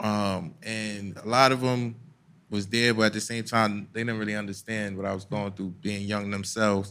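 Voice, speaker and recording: A man's fairly low voice in a New York accent, bright and sharp in tone, with flat, monotone intonation, a moderate pace and audible room echo. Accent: New York (Bronx). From US Northeast (Bronx, New York City). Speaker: hip hop artist and activist. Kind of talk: casual chat. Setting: stage with live audience.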